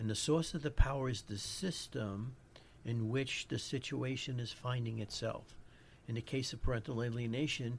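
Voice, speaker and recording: A man with a New York accent talks at a moderate pace and medium pitch. His voice is somewhat breathy, with ordinary pitch variation. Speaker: psychologist podcast host. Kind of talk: educational podcast monologue. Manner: halting, with frequent restarts.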